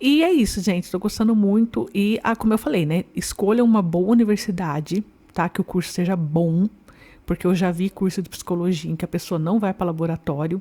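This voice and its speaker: Heard in a dry, close sound with no echo, a woman talks at a fairly quick pace with a dark, mellow tone and ordinary pitch variation. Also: medium pitch for a woman. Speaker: psychology student vlogger. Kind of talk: casual vlog talk. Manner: talking with braces, slightly distorted speech.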